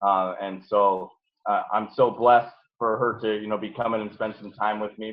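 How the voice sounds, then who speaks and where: A man speaks with a fairly low pitch. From Nebraska. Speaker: business coach. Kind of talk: motivational talk. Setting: video call. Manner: animated.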